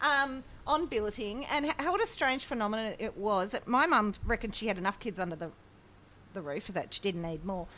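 A woman speaks in an Australian accent with a fairly high pitch and a bright, sharp tone. Her pace is fairly quick, and her pitch swings very widely. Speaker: podcast co-host. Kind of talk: casual chat.

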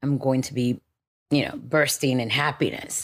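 A woman's very deep, low-pitched voice comes through on a very clean recording with a silent background. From Miami, Florida (born in Dominican Republic, moved at five). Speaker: poet and author. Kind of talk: interview conversation.

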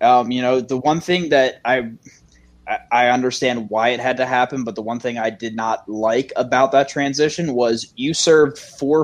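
In a plain, everyday voice, a man with an American accent talks fairly quickly at a medium pitch with fairly even intonation. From Maryland. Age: 20s. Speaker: firefighter and dispatcher. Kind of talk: casual panel discussion.

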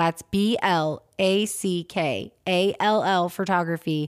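Her voice is an unremarkable speaking voice, with this woman at medium pitch and ordinary pitch variation. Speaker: podcast host. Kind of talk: true crime podcast narration and discussion.

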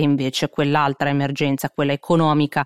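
Speaking at a very fast pace, a woman has a very deep, low pitch, recorded very cleanly against a silent background. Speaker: podcast host and news presenter. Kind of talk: newsreading: brisk, scripted-sounding news briefing delivered in a steady, neutral tone. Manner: fast, concise, matter-of-fact, with occasional filler 'eh' hesitations.

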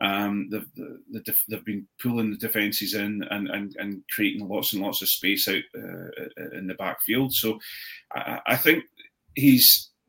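With an Edinburgh accent, the speaker talks at a fairly slow pace. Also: man. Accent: Scottish (Edinburgh). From Scotland, Edinburgh. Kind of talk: casual chat. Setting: video call.

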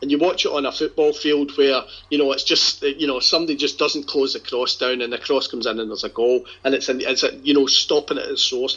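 This man speaks in a Glasgow accent, his pitch fairly high. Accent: Scottish (Glasgow). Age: 50s. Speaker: football supporters' group leader. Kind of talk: casual chat.

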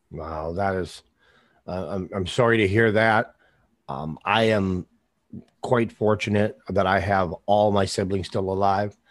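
Fairly slow, fairly even speech in an American accent, with long, frequent pauses against a quiet background. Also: man, fairly low pitch for a man. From US Midwest. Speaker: podcast host. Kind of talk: casual interview. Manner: halting, filler-heavy.

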